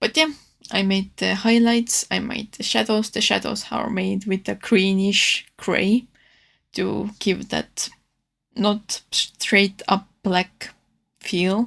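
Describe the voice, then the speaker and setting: At a very slow pace, a woman speaks with a medium pitch and fairly even intonation, recorded very cleanly against a silent background. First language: not English. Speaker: artist. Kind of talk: casual narrated art tutorial voiceover. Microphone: new microphone, re-recorded audio.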